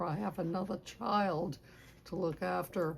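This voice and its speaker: Her pitch sits fairly low for a woman. She talks at a very slow pace. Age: 80s+. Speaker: oral history interviewee. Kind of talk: oral history interview. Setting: public library.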